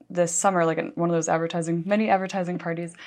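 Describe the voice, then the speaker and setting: Here is a woman with an unremarkable speaking voice, pitched fairly low. Her intonation stays fairly even. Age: 30s. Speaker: editor of an advertising trade publication. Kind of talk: interview.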